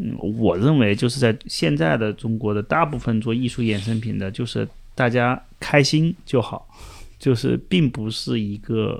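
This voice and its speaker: The background is silent and the recording very clean. An unremarkable speaking voice proceeds fairly slowly. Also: man, medium pitch for a man. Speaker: independent curator. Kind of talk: casual chat.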